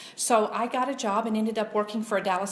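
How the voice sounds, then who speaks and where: Over noticeable background noise, a woman with a medium-pitched voice talks at a fairly quick pace with ordinary pitch variation. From Louisiana. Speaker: political commentator. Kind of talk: casual chat. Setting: backyard guest house.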